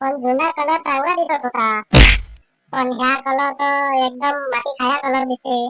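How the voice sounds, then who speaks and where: A female-sounding, cartoonish character voice talks at a fairly slow pace with a high pitch. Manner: blunt, needling.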